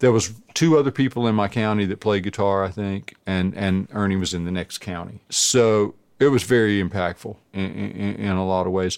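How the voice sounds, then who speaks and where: A man with a plain, everyday voice and an American accent speaks at a moderate pace with hardly any pauses, a fairly low pitch and ordinary pitch variation, in a very clean recording with a silent background. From US South, coastal North Carolina. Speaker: guitarist. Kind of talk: casual chat.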